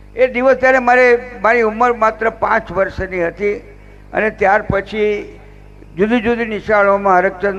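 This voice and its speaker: The man's high-pitched voice has a monotone, flat intonation. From Gujarat, Limbdi (Jhalawad), born in Kutch. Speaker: politician, former student. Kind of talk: ceremonial speech.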